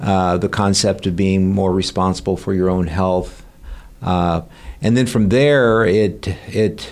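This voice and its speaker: A man with a Midwestern American accent, a fairly low pitch, fairly even intonation and very even loudness. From Kansas, US. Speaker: family physician. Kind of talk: interview.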